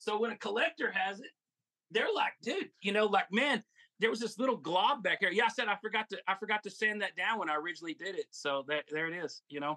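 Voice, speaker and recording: A man speaks very fast in a high, raised, projected voice. His intonation is lively. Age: 50s. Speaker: toy collector and seller. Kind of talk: casual chat.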